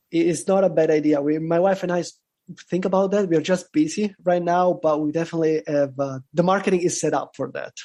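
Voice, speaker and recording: Speaking with an Italian accent at a very fast pace, a man has a high pitch. His tone is dark and mellow, with fairly even intonation. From Italy. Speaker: bitcoin content creator. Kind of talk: casual interview. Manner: halting, many fillers.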